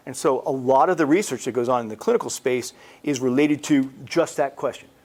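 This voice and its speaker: This man has a plain, everyday voice and an American accent. His intonation is lively. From United States. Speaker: cancer researcher. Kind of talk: lecture. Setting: presentation to a support group.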